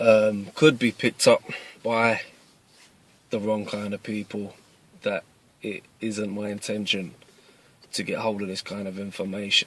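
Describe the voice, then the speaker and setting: Fairly even intonation with big swings in loudness and long, frequent pauses, dry and close with no echo, over noticeable background noise. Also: man, fairly low pitch for a man. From East London, England. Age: 30s. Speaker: martial arts instructor. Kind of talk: casual address to camera. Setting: in a car.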